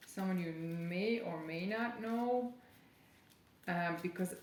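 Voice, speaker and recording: Audible room echo colors this recording. The woman's pace is very slow. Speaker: tarot reader. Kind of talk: channeled tarot reading. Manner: halting.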